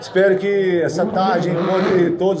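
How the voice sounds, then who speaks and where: Audible room echo and noticeable background noise surround the recording. The man's voice is high-pitched. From Brazil, Minas Gerais. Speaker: survival instructor. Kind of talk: lecture. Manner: animated.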